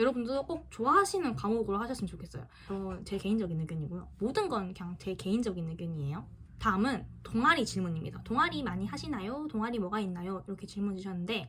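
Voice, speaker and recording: At a very fast pace, a woman speaks at a medium pitch with very wide pitch swings. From Busan, South Korea. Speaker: student YouTuber. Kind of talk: casual Q&A vlog. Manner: halting.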